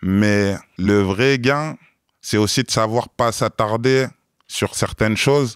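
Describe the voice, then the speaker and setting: Recorded very cleanly with a silent background and a dry, close sound with no echo, a man with a fairly low pitch speaks at a very slow pace with fairly even intonation. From France, Grenoble suburbs. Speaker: entrepreneur and investor. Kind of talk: interview conversation.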